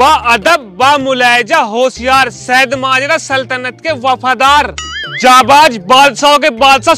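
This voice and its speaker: With faint music in the background, a man uses a raised, projected voice and fairly even intonation in a dry recording with no echo. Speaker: comedy skit actor. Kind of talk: scripted comedic dialogue. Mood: argumentative, mocking. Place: open country. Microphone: lapel.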